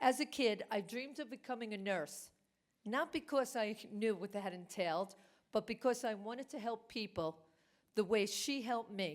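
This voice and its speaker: With a Brooklyn accent, a woman speaks at a fairly high pitch. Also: ordinary pitch variation, moderate pace. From New York, Brooklyn. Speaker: award recipient, business executive. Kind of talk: award acceptance speech.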